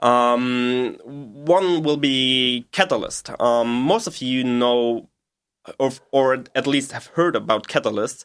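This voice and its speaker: Recorded very cleanly over a silent background, a man with a German accent and medium pitch speaks at a very slow pace with ordinary pitch variation. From Germany, Bavaria (Munich suburbs). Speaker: PhD chemistry researcher. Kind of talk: interview explanation. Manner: halting, many fillers.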